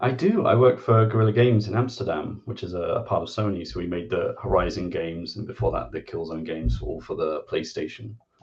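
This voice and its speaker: With an English accent, a man talks at a very fast pace with hardly any pauses. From England. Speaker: game designer and columnist. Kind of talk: interview.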